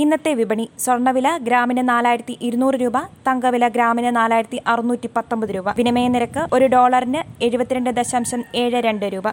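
A woman speaks at a high pitch in a monotone, flat intonation. Her loudness stays very even. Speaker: news reader. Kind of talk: news reading. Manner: formal.

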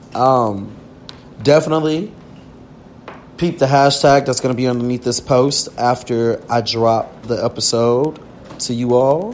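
With an American accent and noticeable background noise behind him, a man speaks at a medium pitch and fairly slow pace, with ordinary pitch variation and long, frequent pauses. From US South. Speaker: podcast host. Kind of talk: casual chat.

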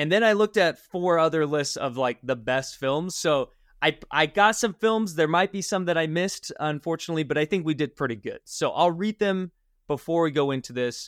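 A man with fairly high pitch and ordinary pitch variation talks at a fairly quick pace in an unremarkable speaking voice. The very clean recording has a silent background and a dry, close sound with no echo. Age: 20s. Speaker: podcast host. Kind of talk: casual chat.

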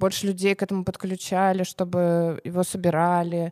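The recording is very clean, with a silent background and a dry, close sound free of echo. A woman speaks at a moderate pace in a dark, mellow voice of medium pitch. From Russia, small village. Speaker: co-founder of a children's clothing brand. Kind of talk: casual interview.

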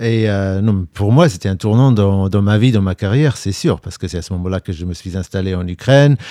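Deep in the fairly low range, a man speaks with a dark, mellow tone and ordinary pitch variation. He goes at a fairly quick pace with hardly any pauses, in a dry, close sound with no echo. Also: very clean recording, silent background. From England, London. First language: English (speaking French). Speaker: war reporter, TV journalist. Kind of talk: interview conversation.

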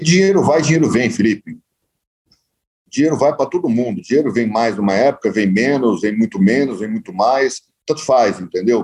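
A man with an ordinary speaking voice, medium pitch, lively intonation and moderate pace. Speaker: real estate developer. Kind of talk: interview.

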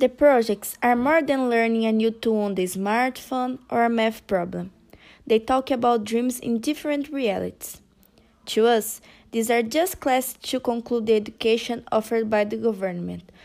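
With a Portuguese accent, a woman speaks at a fairly high pitch. She keeps a moderate pace and ordinary pitch variation. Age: 20s. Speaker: university student volunteer. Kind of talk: interview. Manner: didactic and light.

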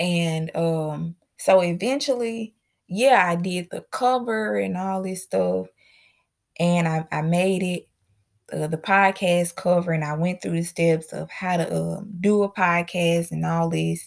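A woman with an American accent speaks in a fairly low voice with ordinary pitch variation. The recording is very clean, with a silent background. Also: fairly slow pace. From Mississippi, US South. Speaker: podcast host. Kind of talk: testimony.

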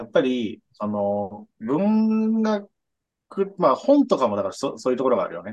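Here a man speaks at a fairly slow pace. His pitch swings very widely. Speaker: podcast co-host. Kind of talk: casual chat.

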